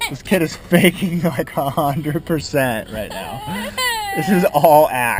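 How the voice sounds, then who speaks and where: Very slow speech with noticeable background noise. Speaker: vlogger. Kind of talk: casual vlog talk. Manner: animated.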